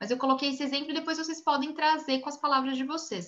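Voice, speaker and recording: A woman's high-pitched, raised and projected voice, bright and sharp in tone, with audible room echo. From Brazil. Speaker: image consultant and course instructor. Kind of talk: online class lecture. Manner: fast.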